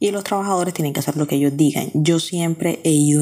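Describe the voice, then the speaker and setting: A woman with a Colombian coastal accent speaks in a dark, mellow tone on a very clean recording with a silent background. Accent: Colombian coastal (costeño). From Colombia, Barranquilla (Caribbean coast). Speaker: listener sending voice message. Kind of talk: recorded voice message.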